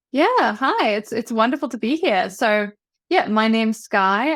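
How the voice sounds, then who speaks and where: A woman with a New Zealand accent at a moderate pace, in a very clean recording with a silent background. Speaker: ADHD coach, former academic. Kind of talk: interview.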